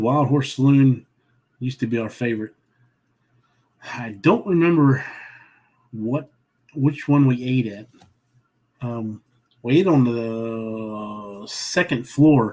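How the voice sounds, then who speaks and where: A man with a Southern accent talks at a very slow pace, leaving long, frequent pauses. His medium pitch shows ordinary variation, while his loudness swings widely. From Southern Maryland. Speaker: travel vlogger. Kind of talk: casual chat. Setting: livestream. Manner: halting.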